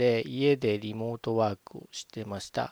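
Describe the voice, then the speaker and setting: In a dry, close sound with no echo, a man talks at a moderate pace in a relaxed tone. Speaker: podcast host. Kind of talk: casual solo podcast monologue. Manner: relaxed, conversational, some fillers.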